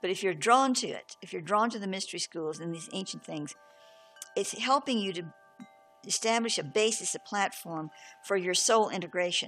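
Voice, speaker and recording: Over background music, a woman talks at a moderate pace with a medium pitch and ordinary pitch variation. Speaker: spiritual teacher. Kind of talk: reading aloud with commentary; spiritual talk. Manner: halting.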